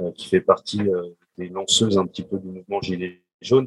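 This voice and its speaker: Moderate pace and monotone, flat intonation from a man, in a dry, close sound with no echo. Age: 40s. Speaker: civil servant. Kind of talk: panel discussion.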